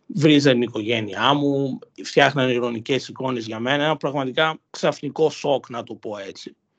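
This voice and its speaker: In a normal speaking voice, a man talks at a medium pitch and a moderate pace with hardly any pauses, ordinary pitch variation and big swings in loudness. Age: 20s. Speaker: university student. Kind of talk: personal testimony interview.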